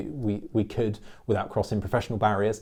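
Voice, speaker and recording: Here a man talks at a very fast pace. His voice sits fairly low, with a dark, mellow tone. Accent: English. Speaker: accountant and business YouTuber. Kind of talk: channel update monologue. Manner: animated.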